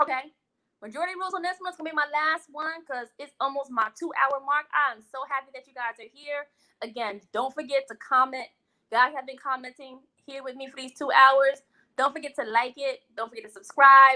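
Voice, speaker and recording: A woman talks at a fairly quick pace in a raised, projected, high-pitched voice with a bright, sharp tone. Her loudness swings widely, while her pitch variation is ordinary. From West Indies. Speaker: food vlogger and live show host. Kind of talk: casual live-stream chat. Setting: live stream. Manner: animated.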